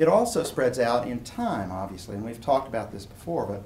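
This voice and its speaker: Audible room echo around a man at medium pitch. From East Tennessee (Chattanooga). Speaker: philosophy professor. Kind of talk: lecture. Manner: casual, conversational.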